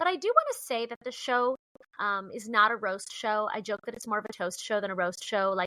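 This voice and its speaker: This woman sounds loud and animated, with a bright, sharp tone and a fairly high pitch. She moves at a fairly quick pace with ordinary pitch variation. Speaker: comedian and dating show creator. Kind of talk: podcast interview.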